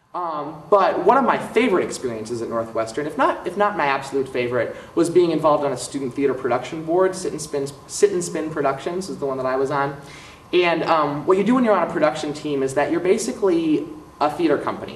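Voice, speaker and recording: Amid noticeable background noise and audible room echo, a man with an American accent speaks at a very fast pace in a fairly high pitch, with ordinary pitch variation. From US Midwest, Milwaukee, Wisconsin. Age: 20s. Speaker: theater director and songwriter, recent graduate. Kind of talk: interview monologue. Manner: hesitant, many fillers.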